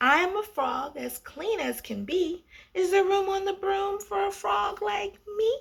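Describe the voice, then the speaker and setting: A woman performs a put-on character voice that is croaky and extremely high-pitched. She delivers it at a fairly slow pace. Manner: polite.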